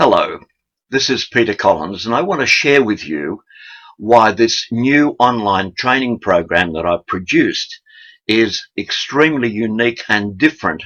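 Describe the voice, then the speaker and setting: A man's bright, sharp voice at medium pitch, with an Australian accent, lively intonation and a fairly slow pace. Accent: thick Australian. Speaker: sales trainer. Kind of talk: sales training talk.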